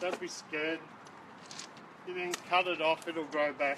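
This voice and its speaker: A man speaks slowly, though only fairly so, with an Australian accent. Noticeable background noise runs under his voice. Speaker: gardening vlogger. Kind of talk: tutorial. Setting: outdoors. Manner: loud.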